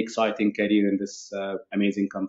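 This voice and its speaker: A man speaks with an Arabic accent. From Egypt. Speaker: tech executive. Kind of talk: interview.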